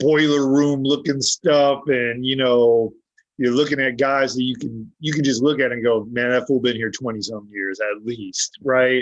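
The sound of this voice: Holding a mid-range pitch, a man talks with little rise and fall.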